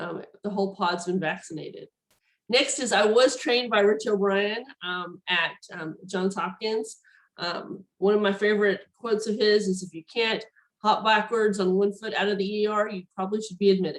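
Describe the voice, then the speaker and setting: A woman with a Southern US accent speaks at a moderate pace with fairly even intonation. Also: medium pitch for a woman. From Tennessee. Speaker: neurologist. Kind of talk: lecture. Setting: video call. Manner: hesitant, many fillers.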